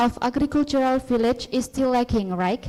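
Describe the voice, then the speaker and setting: A woman with an Indonesian accent speaks at a moderate pace with ordinary pitch variation amid noticeable background noise. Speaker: student asking a question. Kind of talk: conference Q&A question. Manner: halting.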